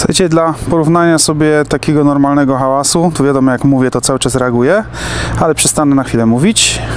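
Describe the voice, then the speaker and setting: A man with a fairly high pitch talks very fast, his loudness very even and his pitch variation ordinary. Noticeable background noise runs underneath. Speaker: tech YouTuber reviewing equipment. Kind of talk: product review and test demonstration. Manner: casual, conversational.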